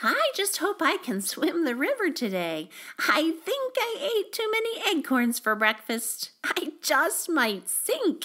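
A put-on character voice sounds squeaky and extremely high, with very wide pitch swings. It moves at a fairly slow pace with hardly any pauses. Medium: read story. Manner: chatty, upbeat.

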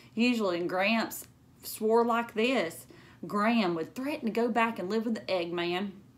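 Her pitch sits in the medium range for a woman, with ordinary pitch variation. This woman speaks at a fairly slow pace.

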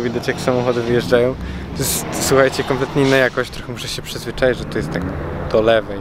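Against noticeable background noise, a man talks at a very fast pace with fairly even intonation, the sound dry with no echo. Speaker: car vlogger. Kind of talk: casual vlog chat. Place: stadium. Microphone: phone near.

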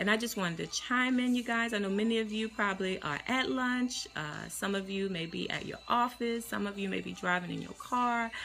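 A woman talks at a fairly quick pace with ordinary pitch variation. There is light background noise. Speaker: life coach. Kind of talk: casual live-stream encouragement talk. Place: office. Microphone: phone near.

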